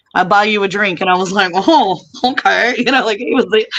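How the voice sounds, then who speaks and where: At a moderate pace and with ordinary pitch variation, an ordinary speaking voice comes through with an American accent. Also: woman. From United States. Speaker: voiceover artist. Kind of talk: interview answer. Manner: casual, chatty.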